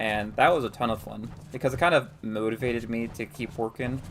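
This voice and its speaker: This man has an American accent, a medium pitch and ordinary pitch variation. Noticeable background noise runs behind him. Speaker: gaming streamer. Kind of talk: live gameplay stream chat. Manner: casual, many filler words.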